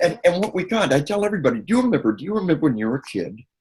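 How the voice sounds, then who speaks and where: Pitch swings very widely here. The voice is somewhat breathy. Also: man. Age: 60s. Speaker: researcher speaking on violence and media. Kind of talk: interview. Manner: animated.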